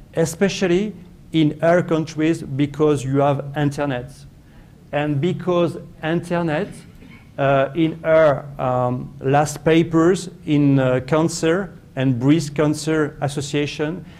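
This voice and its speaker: A fairly high-pitched man with a French accent, very slow and fairly even, with audible room echo. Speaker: professor. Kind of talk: conference talk. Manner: halting, many fillers and repetitions.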